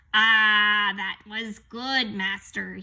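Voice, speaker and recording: A woman bellows in a booming, put-on character voice. Her pitch is medium. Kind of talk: addressing a master. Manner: booming, bellowing.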